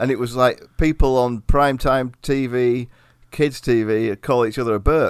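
Someone with an East Midlands accent talks at a moderate pace with fairly even intonation on a very clean recording with a silent background. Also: man, medium pitch for a man. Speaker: podcast host. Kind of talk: casual banter about history. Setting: eating while recording.

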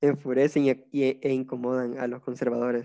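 A man's dark, mellow voice in a monotone, flat intonation at a fairly slow pace. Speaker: podcast host. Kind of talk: casual chat.

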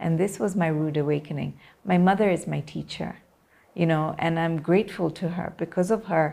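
A woman talks at a moderate pace with fairly even intonation. Her fairly low voice has a dark, mellow tone and vocal fry. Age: 40s. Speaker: media personality. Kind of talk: interview.

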